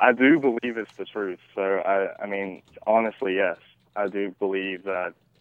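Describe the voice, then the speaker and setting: Speaking in a Southern US accent, a man keeps a moderate pace and a fairly low pitch. His intonation is fairly even. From US South, Shreveport, Louisiana. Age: 20s. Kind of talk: radio interview. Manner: hesitant, many fillers.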